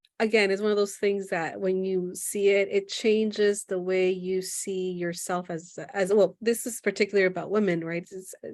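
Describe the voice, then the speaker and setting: Delivered at a moderate pace with an American accent, the speech has monotone, flat intonation. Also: woman, medium pitch for a woman. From United States. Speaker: podcast host and therapist. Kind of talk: podcast interview.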